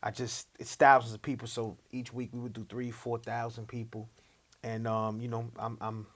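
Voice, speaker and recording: With a New York accent, a man of medium pitch speaks at a moderate pace in a monotone, flat intonation. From Long Island, New York. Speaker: rapper. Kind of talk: interview.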